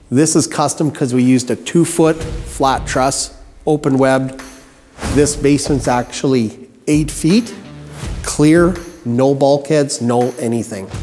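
Ordinary pitch variation and very even loudness, with long, frequent pauses and faint music in the background. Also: man, fairly slow pace. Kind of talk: tutorial.

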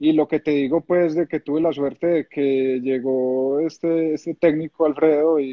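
Against a quiet background, a man with an Antioquian accent speaks at a fairly high pitch with fairly even intonation. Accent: Colombian paisa Spanish. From Colombia, Medellín. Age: 30s. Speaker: retired footballer, goalkeeper. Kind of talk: casual interview. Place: home room. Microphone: phone near.

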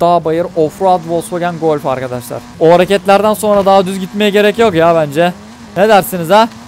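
A man with a high pitch and an animated tone, at a moderate pace with ordinary pitch variation, in a dry sound with no echo and faint music in the background. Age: 20s. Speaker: gaming YouTuber. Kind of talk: gameplay commentary.

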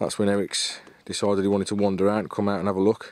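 A man with a fairly low pitch races along at a very fast pace in a dry sound with no echo. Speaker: carp angler vlogger. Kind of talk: casual vlog chat. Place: waterside. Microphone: phone near.

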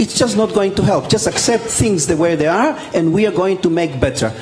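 There is faint background noise as a man talks at a high pitch.

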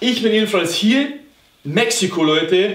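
This man's voice is high-pitched and very slow. There is audible room echo around him. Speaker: comedic business coach parody.

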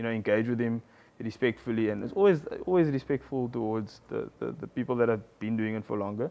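Talking at a very fast clip is a man. His pitch rises and falls in an ordinary way. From South Africa, Paarl (Western Cape); Western Cape, South Africa. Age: 20s. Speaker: medical doctor turned entrepreneur; guest. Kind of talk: casual interview. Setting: live event with audience. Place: studio.

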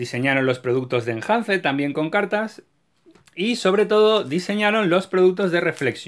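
A man speaks in an animated tone with a Castilian accent, his high voice swinging very widely in pitch. The background is quiet. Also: moderate pace. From Spain. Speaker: YouTuber, card game collector. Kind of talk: video tutorial; casual explanatory collector chat. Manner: halting, repeats words. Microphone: phone near.

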